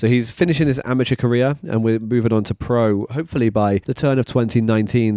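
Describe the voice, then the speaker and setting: A man with a British accent speaks at a medium pitch with ordinary pitch variation and a dark, mellow tone. The recording is very clean, with a silent background and a dry, close sound with no echo. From UK. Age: 30s. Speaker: personal trainer / fitness business owner. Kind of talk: monologue about career. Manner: halting, many fillers and repeats.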